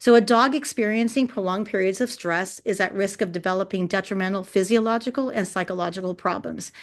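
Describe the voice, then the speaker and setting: The pace of this woman's speech is very fast. Her pitch variation is ordinary. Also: medium pitch for a woman, hardly any pauses. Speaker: dog behavior consultant. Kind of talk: educational webinar presentation. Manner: passionate.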